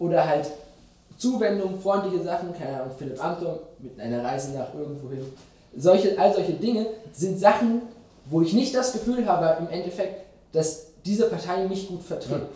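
A man speaks at a high pitch with lively intonation, long, frequent pauses and big swings in loudness. Audible room echo and noticeable background noise come through. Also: moderate pace. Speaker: journalist. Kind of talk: interview. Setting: studio.

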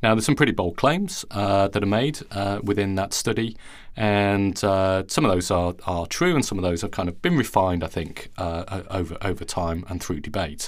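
A man's fairly low voice with a non-native accent, at a moderate pace, with ordinary pitch variation and hardly any pauses. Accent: non-Australian foreign. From outside Australia. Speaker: plant biology professor and podcast host. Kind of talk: interview conversation. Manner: hesitant, many fillers.

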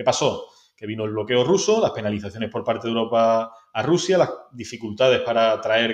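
A man talks at a moderate pace and medium pitch with ordinary pitch variation, in a plain, everyday voice. The background is quiet. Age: 30s. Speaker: marketing director. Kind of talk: interview.

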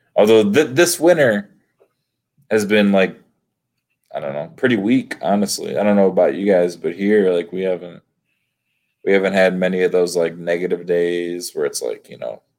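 The man speaks at a moderate pace with a fairly low pitch and ordinary pitch variation. He leaves long, frequent pauses. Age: 20s. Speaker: professional disc golfer. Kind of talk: casual chat.

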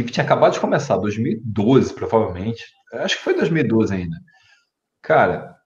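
Somewhat breathy, a man speaks at a moderate pace with long, frequent pauses. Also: medium pitch for a man, lively intonation. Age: 30s. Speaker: YouTube channel host. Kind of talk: live stream chat.

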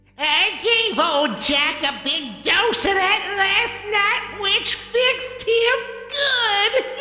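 An extremely high put-on character voice, very slow with hardly any pauses, with slight echo and clear background noise. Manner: eerie.

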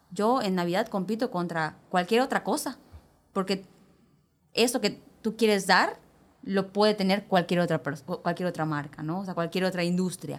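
Here is a woman with an ordinary speaking voice at a medium pitch. She talks at a moderate pace with ordinary pitch variation. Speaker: spa operations director. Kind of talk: casual chat.

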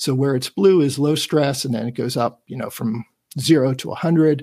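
A man's fairly high-pitched, unremarkable speaking voice with ordinary pitch variation. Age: 50s. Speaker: tech enthusiast guest. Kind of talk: casual chat presentation.

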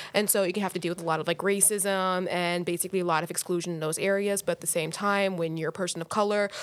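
A woman speaks very fast in a flat, monotone way. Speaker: student. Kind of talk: casual chat.

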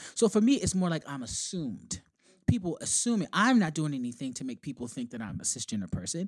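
Very fast and fairly high-pitched, a man talks with very wide pitch swings. His loudness swings a lot too. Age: 30s. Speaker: writer, speaker and activist. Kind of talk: casual chat.

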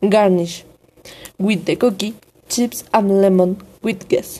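A woman with a Spanish accent, medium pitch, a dark, mellow tone and fairly even intonation. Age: 20s. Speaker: student. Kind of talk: reading aloud. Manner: formal.

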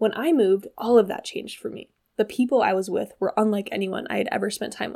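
A woman with an American accent speaks in a fairly high voice. Her tone is dark and mellow. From US Pacific Northwest, Washington State. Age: 20s. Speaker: podcast host, body image coach. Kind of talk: casual solo monologue. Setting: at home.

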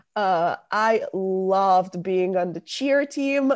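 The speaker has an Italian accent. The background is quiet. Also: woman. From northern Italy, near Milan. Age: 20s. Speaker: university student. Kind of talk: interview.

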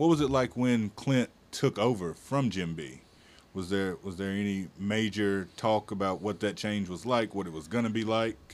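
A man speaks at a moderate pace with a fairly low pitch. He has an ordinary speaking voice. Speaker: podcast host. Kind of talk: casual interview.

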